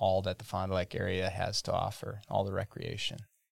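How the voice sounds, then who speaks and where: The recording is very clean with a silent background. A man with a fairly low pitch speaks in an Upper Midwest accent. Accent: Upper Midwest American. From Wisconsin. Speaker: economic development and chamber of commerce director. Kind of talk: casual interview.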